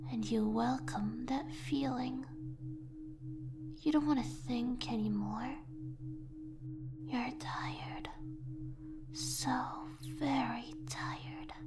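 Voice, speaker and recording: A soft-spoken voice with long, frequent pauses over loud background noise. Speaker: voice actor performing a script. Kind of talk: soft hypnotic roleplay narration. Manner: soft, slow, hypnotic sleepy murmur.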